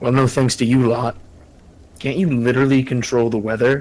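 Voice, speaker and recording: A man puts on a character voice at medium pitch. His loudness stays very even, his intonation fairly even, and his pace moderate. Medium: actual play.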